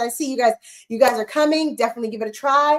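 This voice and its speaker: A woman speaks at a high pitch with lively intonation. Her tone is bright and sharp. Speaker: small business owner teaching candle and fragrance making. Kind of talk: livestream unboxing and teaching chat. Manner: fast; animated.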